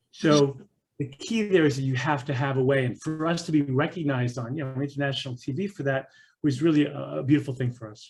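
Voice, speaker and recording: Speaking at a very fast pace, a man uses a fairly high, somewhat breathy voice. His pitch varies in an ordinary way, while his loudness swings widely. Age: 60s. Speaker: parent coach and teen mentor. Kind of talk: interview conversation. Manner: animated.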